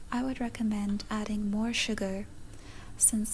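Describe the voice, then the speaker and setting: Soft-spoken and calm, a woman talks very slowly in a fairly high, monotone voice with flat intonation. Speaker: ASMR content creator. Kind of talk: ASMR cooking tutorial. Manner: soft-spoken, calm.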